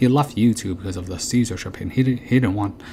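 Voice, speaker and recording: At a very fast pace, a man speaks with ordinary pitch variation. Noticeable background noise can be heard. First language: not English. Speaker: channel host, commentator. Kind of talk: casual monologue. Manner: halting, many fillers.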